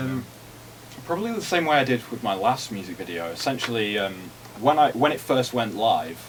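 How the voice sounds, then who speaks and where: Noticeable background noise runs under a man whose medium-pitched voice moves at a fairly quick pace. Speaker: student. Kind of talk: answering questions from classmates. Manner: hesitant, stammering.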